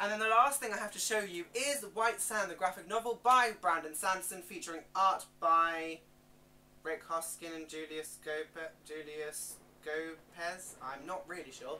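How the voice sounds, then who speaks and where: This woman's voice is fairly low, with a bright, sharp tone and lively intonation. She speaks at a fairly slow pace, with big swings in loudness. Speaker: book youtuber. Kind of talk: book haul video.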